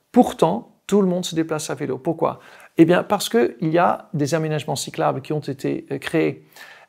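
Against a quiet background, a man with a Dutch accent talks at a fairly high pitch with ordinary pitch variation and vocal fry. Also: moderate pace. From Netherlands, rural village. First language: Dutch (speaking French). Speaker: diplomatic attaché and cycling advocate; cycling advocacy spokesperson, guest. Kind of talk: interview. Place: studio. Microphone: lapel.

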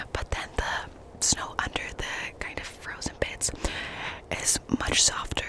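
A woman is whispering. Her words come out in a whisper throughout. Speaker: ASMR creator. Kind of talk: casual vlog chat. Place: open country. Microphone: studio mic.

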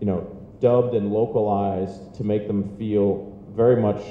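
At a fairly slow pace, a man speaks in a fairly low pitch with fairly even intonation, amid audible room echo and light background noise. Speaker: media company executive on a panel. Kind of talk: interview answer. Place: hall. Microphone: handheld.

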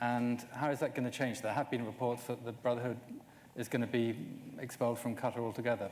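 Over light background noise, a man speaks very fast in a monotone with flat intonation. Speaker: journalist. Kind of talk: panel interview. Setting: stage with audience. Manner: hesitant, repeats words. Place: stage. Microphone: lapel.

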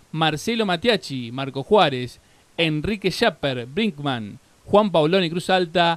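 A man at a very slow pace, high-pitched, with lively intonation. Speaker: announcer reading winners list. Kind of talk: reading aloud a list of winner names.

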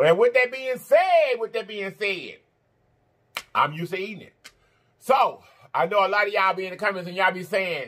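Bright, sharp tone from a man at a fairly quick pace. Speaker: food vlogger. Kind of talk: casual vlog chat.

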